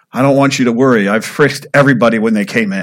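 A man's put-on character voice, gravelly and medium-pitched, at a very fast pace. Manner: matter-of-fact, reassuring.

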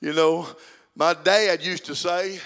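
At a fairly slow pace, a man talks in a high pitch with an Arkansas accent. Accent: Southern US (Arkansas). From Arkansas, US South. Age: 70s. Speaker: guest preacher. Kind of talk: sermon. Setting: church.

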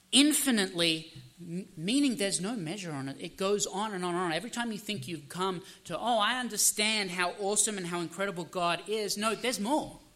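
With an Australian accent, a man projects a raised, high-pitched voice of bright, sharp tone at a fairly quick pace, showing ordinary pitch variation amid audible room echo. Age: 30s. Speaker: pastor. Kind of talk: sermon.

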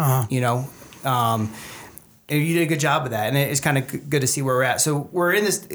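In a plain, everyday voice, the speaker goes at a fairly quick pace with ordinary pitch variation and very even loudness. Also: man, fairly high pitch for a man. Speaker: podcast host. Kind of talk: casual chat. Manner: joking, casual.

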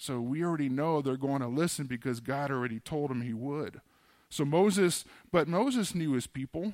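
A man speaks at a moderate pace with fairly high pitch and ordinary pitch variation, in a normal speaking voice. The recording is very clean, with a silent background. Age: 40s. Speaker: pastor. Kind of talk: sermon. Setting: church. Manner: casual, conversational.

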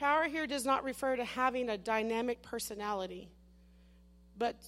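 In a very clean recording with a silent background, a woman speaks in a normal speaking voice at a fairly high pitch. Her pace is moderate and her pitch variation ordinary. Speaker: missionary preacher. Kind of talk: sermon. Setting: church.

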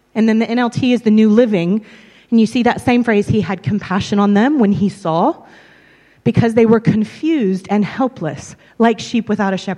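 The speaker has an American accent and talks at a moderate pace. Pitch variation is ordinary. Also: woman, fairly high pitch for a woman. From US South, Tennessee and Texas. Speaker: preacher. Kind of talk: sermon.

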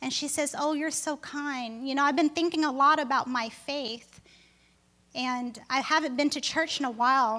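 A woman's raised, projected voice, high in pitch and bright and sharp in tone, at a moderate pace with fairly even intonation. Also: very clean recording, silent background. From Vietnam. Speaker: pastor. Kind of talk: sermon. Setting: church. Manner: halting.

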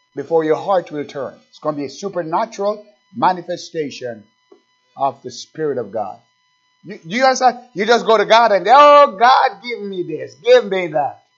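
A man's high-pitched voice with very wide pitch swings and big swings in loudness, music in the background. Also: moderate pace. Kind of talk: sermon. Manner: exhortative, urgent pulpit delivery with rhetorical questions and repetition; halting at times, with filler pauses between phrases.

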